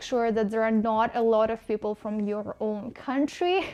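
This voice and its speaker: A woman speaks in a Russian accent at a fairly high pitch. Her intonation is monotone and flat. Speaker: vlogger. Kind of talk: casual vlog monologue. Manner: hesitant, with fillers.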